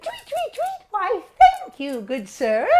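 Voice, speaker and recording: Squeaky and extremely high, this put-on character voice swings very widely in pitch. It moves at a fairly slow pace. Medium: stage play. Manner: chirpy, mocking.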